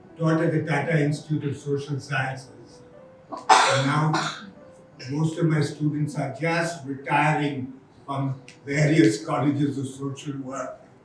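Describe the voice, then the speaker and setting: With music in the background and audible room echo, a man speaks fairly slowly in a fairly high-pitched, monotone voice with flat intonation. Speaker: educator and NGO founder. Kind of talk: conference talk. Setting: conference hall with audience. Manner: halting.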